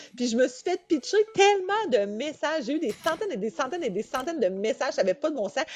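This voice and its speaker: A woman with a Quebec accent speaks at a high pitch with very wide pitch swings and an animated tone. Her very fast pace leaves hardly any pauses, and there is noticeable background noise. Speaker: reality TV contestant. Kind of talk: interview.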